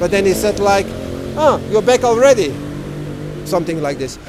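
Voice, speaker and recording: A man with a high voice speaks with lively intonation over noticeable background noise. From Belgium. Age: 50s. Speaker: world traveler. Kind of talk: interview.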